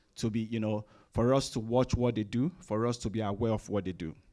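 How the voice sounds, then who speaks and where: With a Nigerian accent, a man speaks in a dark, mellow tone at a moderate pace. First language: Nigerian languages. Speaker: chief information officer, presenter. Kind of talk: conference presentation. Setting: room with live audience. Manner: hesitant, many fillers.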